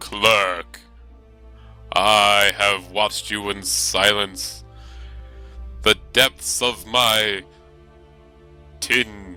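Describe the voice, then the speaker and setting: Faint music plays in the background as a man uses a put-on character voice, fairly low in pitch, at a very slow pace. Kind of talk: comic overacting. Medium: actual play. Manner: grandiose, archaic phrasing.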